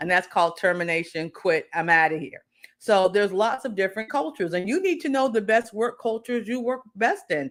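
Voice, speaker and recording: An animated tone, lively intonation and a fairly quick pace. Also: woman, medium pitch for a woman. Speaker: career coach. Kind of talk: live stream talk. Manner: loud.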